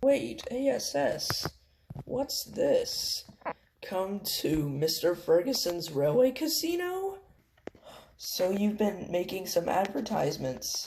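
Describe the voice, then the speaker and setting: A man's high, put-on character voice at a fairly slow pace. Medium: read story. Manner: friendly, eager.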